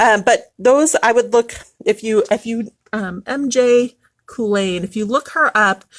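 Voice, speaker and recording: This woman has a normal speaking voice, fairly high in pitch, with lively intonation. The sound is dry and close with no echo. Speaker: shop owner selling tarot decks. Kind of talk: live shopping stream. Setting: live Facebook video in shop.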